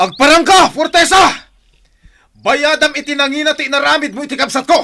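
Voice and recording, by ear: Putting on a character voice, a man speaks at an extremely high pitch with vocal fry and a bright, sharp tone. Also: ordinary pitch variation, fairly quick pace.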